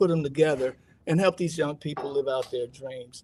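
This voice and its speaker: This man's voice sits fairly high and sounds somewhat breathy. He speaks at a moderate pace with an American accent. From Chicago, US Midwest. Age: 70s. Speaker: golf diversity advocate. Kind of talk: radio interview.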